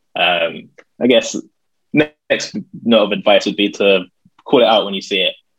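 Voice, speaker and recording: A man speaks at a moderate pace. He has a London accent. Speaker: church youth worker. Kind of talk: casual interview.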